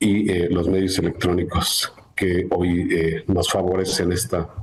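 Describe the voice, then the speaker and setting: A man talks very slowly, his voice somewhat breathy. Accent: Mexican. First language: Nahuatl (speaking Spanish). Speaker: court official and lawyer. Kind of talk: formal welcome speech. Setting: live-streamed panel event.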